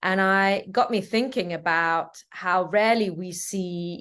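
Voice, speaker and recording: The speaker has an Italian accent and ordinary pitch variation, heard over a quiet background. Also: woman. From Ticino, Switzerland. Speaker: film director. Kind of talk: interview.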